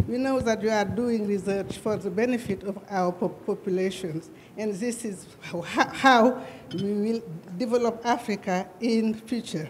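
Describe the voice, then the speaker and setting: A fairly high-pitched woman at a fairly slow pace, with ordinary pitch variation and noticeable background noise. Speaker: government representative. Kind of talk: formal speech. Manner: halting.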